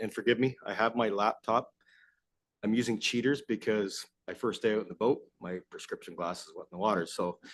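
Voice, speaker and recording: A man with an Ontario accent speaks fairly quickly at a medium pitch. His intonation stays fairly even against a quiet background. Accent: Canadian (Ontario). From Southern Ontario. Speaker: asset management consultant. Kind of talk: presentation to council. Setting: council chamber. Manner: loud.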